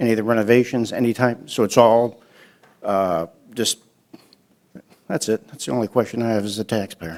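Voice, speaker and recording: Speaking at a fairly quick pace, a man leaves long, frequent pauses. His pitch is medium and his intonation fairly even. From New York. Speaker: citizen commenter. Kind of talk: public comment at council meeting.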